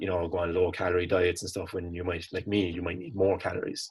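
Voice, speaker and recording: In a very clean recording with a silent background, a man with a Cork accent speaks in a very deep, low, somewhat breathy voice. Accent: Cork Irish. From Ireland, Cork. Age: 20s. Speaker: college student, fitness enthusiast. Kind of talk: casual interview chat.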